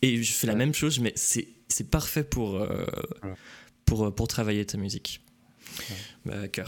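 A man with a medium pitch talks at a fairly slow pace. He uses ordinary pitch variation and takes long, frequent pauses. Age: 20s. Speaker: video game magazine stream host. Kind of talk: casual chat on live stream. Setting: live Twitch stream.

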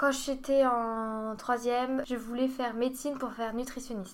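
A woman speaks with a high pitch and fairly even intonation at a fairly slow pace. Audible room echo surrounds her voice. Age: 20s. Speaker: dietetics student. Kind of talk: casual chat.

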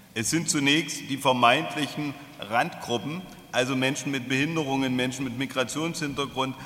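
Over noticeable background noise, a man speaks at a fairly slow pace. His medium-pitched voice keeps fairly even intonation. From Germany. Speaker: social enterprise president. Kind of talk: speech.

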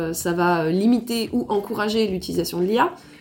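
A woman talks over noticeable background noise. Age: 20s. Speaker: photographer. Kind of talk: casual chat.

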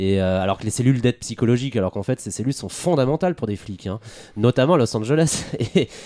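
A man's dark, mellow voice at a medium pitch, very fast pace and lively intonation. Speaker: lawyer and historian, podcast guest. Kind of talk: casual chat. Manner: halting, repeats words.

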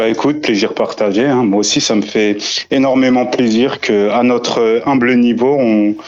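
Here a man has an ordinary speaking voice at medium pitch. He talks at a fairly slow pace with fairly even intonation. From France. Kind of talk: casual chat.

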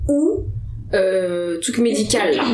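The speaker is a woman. Audible room echo surrounds her voice. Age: 20s. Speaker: biology research engineer. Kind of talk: casual interview. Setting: Paris apartment. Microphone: poor sound quality.

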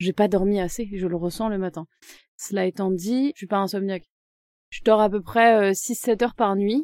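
A woman with a medium pitch uses an ordinary speaking voice at a moderate pace with ordinary pitch variation, in a dry, close sound with no echo. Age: 30s. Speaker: real estate advisor. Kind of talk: interview.

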